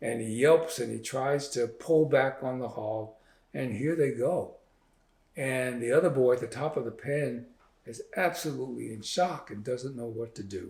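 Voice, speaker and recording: Pitch varies in an ordinary way and the pace is moderate. The voice has a somewhat breathy quality. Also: man, medium pitch for a man. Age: 70s. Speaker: author and physician. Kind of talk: interview. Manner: halting.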